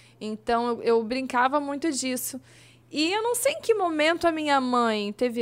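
This woman's voice sits high. She speaks with lively intonation. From southern Brazil, Blumenau (Santa Catarina). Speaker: former children's TV presenter. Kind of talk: casual interview chat. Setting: studio.

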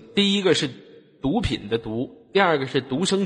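Lively intonation from a man whose voice is somewhat breathy. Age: 20s. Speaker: online voice-chat room host. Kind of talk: casual chat. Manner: animated.

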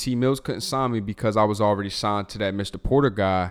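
A man talks at a moderate pace in a plain, everyday voice, fairly low in pitch. His pitch varies in an ordinary way, and the recording is very clean with a silent background. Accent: American. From Baltimore County, Maryland. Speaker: music producer and songwriter. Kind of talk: casual interview chat.

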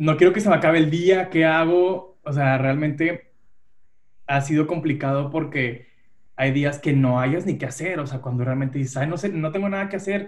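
At a moderate pace comes a plain, everyday voice. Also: man, fairly high pitch for a man, ordinary pitch variation. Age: 30s. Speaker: human resources worker. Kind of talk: casual chat.

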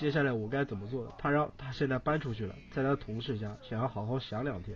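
A quiet man's voice at medium pitch, with ordinary pitch variation and a fairly quick pace. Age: 20s. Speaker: caller. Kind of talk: phone-in confession about breakup. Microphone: too far from the mic.

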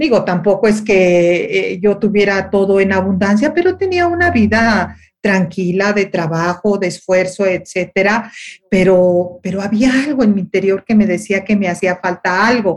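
A woman talks in a normal speaking voice at medium pitch and a fairly slow pace. Her intonation is fairly even and her loudness very even. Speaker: radio and TV host, life coach. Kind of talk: interview conversation.

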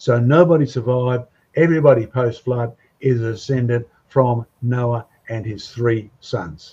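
A speaker with an Australian accent talks at a fairly slow pace in a dark, mellow tone, somewhat breathy, with ordinary pitch variation. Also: man, medium pitch for a man. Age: 70s. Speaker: creationist speaker. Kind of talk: casual panel discussion. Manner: animated.

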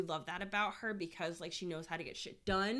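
A loud, animated woman's voice, medium in pitch, with ordinary pitch variation and a bright, sharp tone. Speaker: podcast co-host. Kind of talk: casual chat. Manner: animated, laughing often.

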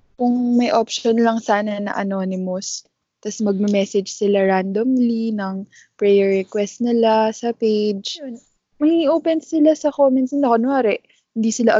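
A woman speaks at a fairly slow pace in an unremarkable speaking voice. Her pitch varies in an ordinary way. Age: 20s. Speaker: podcast co-host and physical therapist. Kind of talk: casual chat.

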